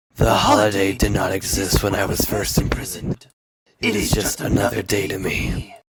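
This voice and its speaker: A man puts on a character voice. He talks at a fairly low pitch and a moderate pace. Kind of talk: archaic formal speech. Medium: comedy sketch. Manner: cold, formal, menacing.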